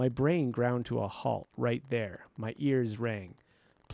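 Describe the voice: Someone does plain reading aloud here.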